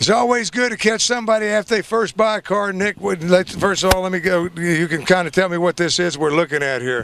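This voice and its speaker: A high-pitched man talks at a very fast pace with hardly any pauses over noticeable background noise. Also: ordinary pitch variation. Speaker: infomercial host. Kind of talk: sales pitch. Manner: animated.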